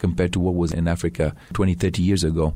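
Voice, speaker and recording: Very fast speech from a man with a Tanzanian accent, his pitch very deep and low, his tone dark and mellow, his intonation fairly even, in a very clean recording over a silent background. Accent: Tanzanian English with British schooling. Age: 40s. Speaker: wildlife conservationist. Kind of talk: radio interview. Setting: studio.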